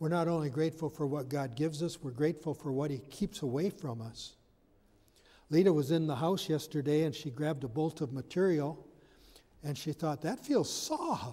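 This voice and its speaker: A man speaks at a moderate pace in a fairly high voice with a dark, mellow tone, a somewhat breathy quality and ordinary pitch variation. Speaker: pastor. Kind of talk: sermon. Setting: church. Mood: warm, lightly humorous. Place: church.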